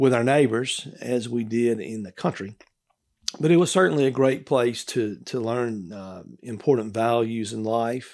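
Big swings in loudness from a man with a Mississippi accent, medium-pitched, at a fairly slow pace. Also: ordinary pitch variation. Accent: Southern US (Mississippi). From Mississippi (Gillsburg, rural south). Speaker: lawyer. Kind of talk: interview. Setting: studio.

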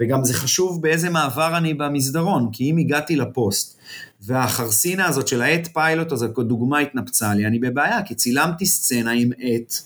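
At a moderate pace with hardly any pauses, a man talks on. His fairly high voice has ordinary pitch variation. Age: 40s. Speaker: TV and film producer. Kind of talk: interview. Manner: halting.

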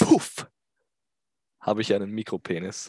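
Animated in tone, the speaker moves at a moderate pace, with a dry, close sound with no echo and a quiet background. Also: man. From Austria. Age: 20s. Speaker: YouTuber. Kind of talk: comedic solo monologue.

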